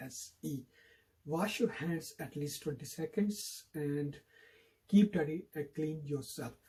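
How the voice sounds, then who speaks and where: Fairly slow in pace, a man talks at a fairly high pitch in a dark, mellow tone. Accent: Pakistani. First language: Urdu. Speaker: YouTuber. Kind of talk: public health message to camera.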